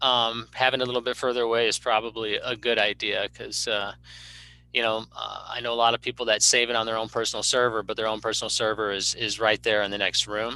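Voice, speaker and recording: At a fairly quick pace, a man talks at medium pitch. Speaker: county emergency management director. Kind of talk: presentation. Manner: fast.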